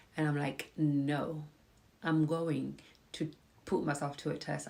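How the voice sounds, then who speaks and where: Very slowly, a woman speaks in a very deep, low voice. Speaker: personal finance and mindset speaker. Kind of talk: casual live talk to viewers. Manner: conversational, hesitant with fillers.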